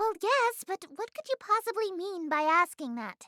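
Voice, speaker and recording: A squeaky, put-on character voice with extremely high pitch moves at a moderate pace. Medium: video game. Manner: theatrical, grandiose.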